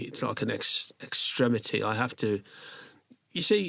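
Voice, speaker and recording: A man talks at a moderate pace with a medium pitch. His voice carries vocal fry. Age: 60s. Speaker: microsculptor artist. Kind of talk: casual chat. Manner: animated.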